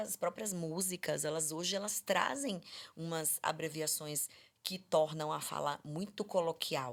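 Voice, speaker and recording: A woman speaks in a fairly low pitch with lively intonation. The recording is very clean, with a silent background. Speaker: speech therapist. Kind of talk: podcast conversation. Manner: fast.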